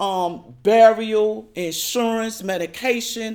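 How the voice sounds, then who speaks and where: The recording is very clean with a silent background as a woman speaks with an American accent. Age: 60s. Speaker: social worker and HIV advocate. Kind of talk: panel testimony. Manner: hesitant, frequent fillers.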